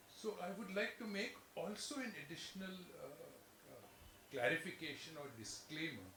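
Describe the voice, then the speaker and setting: Over noticeable background noise and audible room echo, a man talks in a high voice with lively intonation. His pace is moderate, with long, frequent pauses and big swings in loudness. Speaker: chartered accountant and former auditor. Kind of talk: lecture. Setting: lecture hall with in-person and online audience. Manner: halting, with frequent self-corrections.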